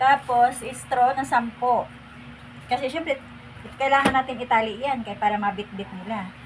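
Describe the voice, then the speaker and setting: There is noticeable background noise as a woman talks at a fairly high pitch. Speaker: home cook vlogger. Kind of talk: cooking tutorial. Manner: casual, with fillers.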